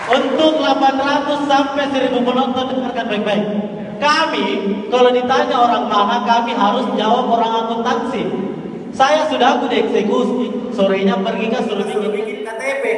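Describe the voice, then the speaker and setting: A man with a Makassar accent speaks at a moderate pace and an extremely high pitch. Room echo is audible, with light background noise. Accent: Makassar-accented Indonesian. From Makassar, South Sulawesi. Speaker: stand-up comedian and university student. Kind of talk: stand-up comedy. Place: hall.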